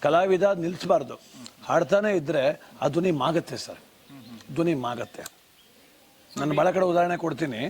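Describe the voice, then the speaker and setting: A man with a high pitch and ordinary pitch variation is heard over noticeable background noise. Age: old. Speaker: folk singer. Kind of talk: interview.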